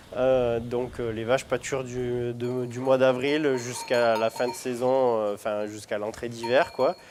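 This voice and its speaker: Fairly slow speech is heard against noticeable background noise. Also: man. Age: 30s. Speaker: cheese-making dairy farmer. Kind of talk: interview. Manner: halting, many hesitations.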